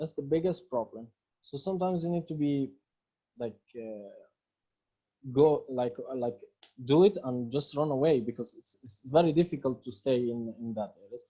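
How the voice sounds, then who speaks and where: A man with an Arabic accent talks at a moderate pace in a dark, mellow tone, pausing often and at length, his loudness swinging widely. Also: medium pitch for a man, ordinary pitch variation. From Palestine. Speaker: filmmaker and activist. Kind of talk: Q&A interview answers. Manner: halting.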